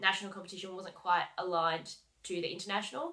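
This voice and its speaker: Over a quiet background, a woman with an Australian accent talks at a medium pitch with fairly even intonation. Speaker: heavy vehicle mechanic and coach. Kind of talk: vlog monologue. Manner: casual, many fillers. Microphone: webcam.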